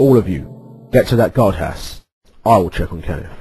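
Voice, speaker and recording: A man's raspy put-on character voice at medium pitch, with lively intonation and a moderate pace. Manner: cool, formal, detached.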